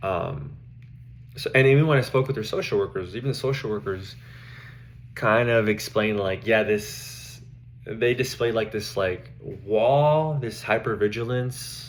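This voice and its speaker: His pitch sits fairly low, with ordinary pitch variation and some vocal fry. The man talks at a fairly slow pace. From Mexico. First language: Spanish. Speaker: social work student. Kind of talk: class presentation. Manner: halting, with fillers.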